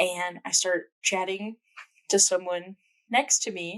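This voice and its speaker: In a dry, close sound with no echo, a woman with a Memphis accent talks at a fairly slow pace and medium pitch, with ordinary pitch variation. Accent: Southern US (Memphis). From US South, Memphis, Tennessee. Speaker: podcast co-host. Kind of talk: casual chat.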